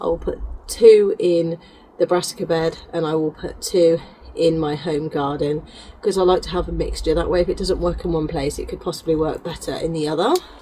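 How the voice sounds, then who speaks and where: Noticeable noise sits behind the speaker. A woman moves at a fairly quick pace. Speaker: gardener. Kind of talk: casual talk to camera.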